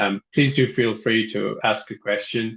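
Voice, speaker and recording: The speaker is male and talks in an Irish accent. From Ireland. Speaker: software company representative, webinar host. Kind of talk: webinar presentation. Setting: online webinar. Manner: hesitant, many fillers.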